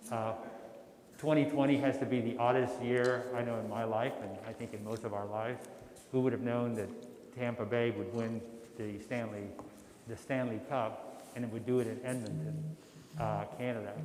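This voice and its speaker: Loud and at a medium pitch, a man speaks at a moderate pace with fairly even intonation and long, frequent pauses. Noticeable background noise and audible room echo fill the recording. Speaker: workshop facilitator. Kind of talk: formal meeting remarks.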